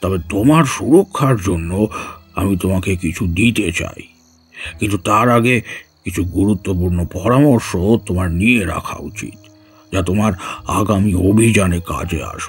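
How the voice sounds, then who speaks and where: A put-on character voice moves at a fairly slow pace over faint music in the background. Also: man, fairly low pitch for a man, ordinary pitch variation. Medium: audio drama. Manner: warm, patient, instructive.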